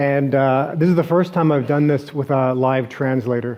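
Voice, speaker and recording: At a moderate pace, a man with a fairly high pitch and a Canadian accent speaks in a normal speaking voice with fairly even intonation. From Canada, Toronto. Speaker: venture investor, conference speaker. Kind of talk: keynote presentation. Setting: stage with audience and live translator. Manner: frequent fillers and restarts.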